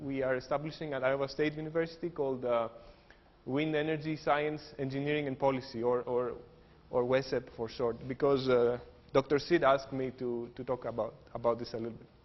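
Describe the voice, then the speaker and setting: This is a man with a Greek accent. He talks at a fairly quick pace. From Greece. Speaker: engineering professor. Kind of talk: lecture.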